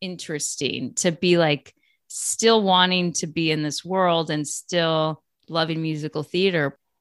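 A woman with a plain, everyday voice talks at a fairly slow pace and a fairly low pitch over a quiet background. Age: 40s. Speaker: podcast host, former musical theater performer. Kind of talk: casual chat.

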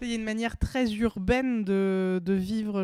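A woman at a very slow pace, in a monotone, flat intonation. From Seine-et-Marne, Île-de-France. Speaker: comedian. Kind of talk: casual chat.

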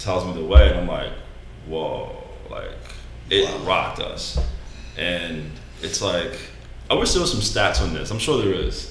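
Over noticeable background noise and audible room echo, a man with an American accent talks at a moderate pace, with long, frequent pauses. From New York. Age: 30s. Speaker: restaurant server. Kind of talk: casual chat.

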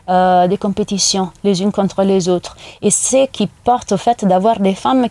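At a fairly slow pace, a woman speaks in a dark, mellow tone with a dry, close sound and no echo. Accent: Italian. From Italy, Rome. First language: Italian (speaking French). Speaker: UN gender unit head. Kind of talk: radio interview. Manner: hesitant, many fillers.

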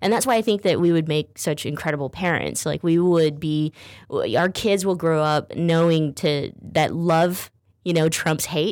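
A normal speaking voice from a woman, fairly low in pitch, at a moderate pace with fairly even intonation and very even loudness, in a very clean recording with a silent background. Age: 30s. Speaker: radio talk show host. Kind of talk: casual talk show chat. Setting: studio.

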